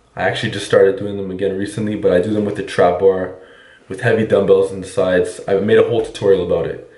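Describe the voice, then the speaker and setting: In a room with audible echo, a man talks with fairly even intonation and a fairly low pitch. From Quebec. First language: French. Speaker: fitness coach. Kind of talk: Q&A monologue.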